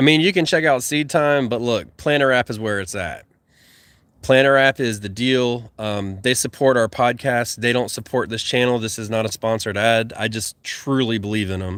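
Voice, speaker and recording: This man speaks with a Southern US accent. His pitch is medium. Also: ordinary pitch variation, moderate pace. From US South. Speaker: gardening YouTuber and podcast host. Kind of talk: livestream chat reading viewer comments. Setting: YouTube livestream. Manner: slurred words.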